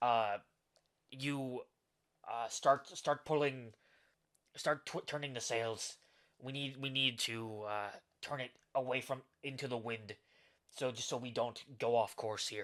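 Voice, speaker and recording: A man's gruff, put-on character voice at medium pitch, with fairly even intonation, a fairly slow pace and long, frequent pauses. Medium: actual play. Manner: gruff, barking.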